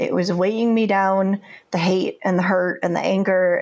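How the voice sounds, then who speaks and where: A woman speaks at a fairly slow pace. She has an unremarkable speaking voice. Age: 50s. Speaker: first-time memoir author. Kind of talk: interview.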